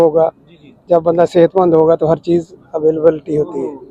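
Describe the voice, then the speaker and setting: A man speaks at a high pitch. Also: dry, close sound with no echo. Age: 60s. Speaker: yoga practitioner. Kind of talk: street interview.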